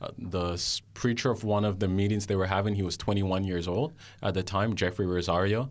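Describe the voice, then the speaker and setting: In a very clean recording with a silent background, a man with a normal speaking voice talks fairly quickly at a fairly low pitch, his intonation fairly even. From Jamaica (Kingston), then Canada from age nine. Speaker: guest sharing faith testimony. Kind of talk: testimony. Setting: studio.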